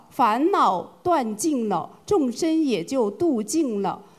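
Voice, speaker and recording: A woman talks at a very slow pace. Her high voice moves through very wide pitch swings. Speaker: group representative asking questions. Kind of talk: formal questions.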